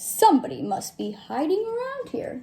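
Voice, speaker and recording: A woman talks at a moderate speed in a put-on character voice, pitched high. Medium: read story.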